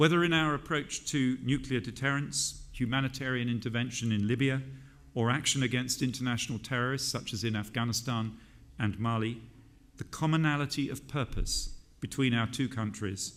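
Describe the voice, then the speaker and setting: With a British accent, a man talks at a moderate pace using fairly even intonation. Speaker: government minister giving a conference speech. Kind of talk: formal political speech at a conference.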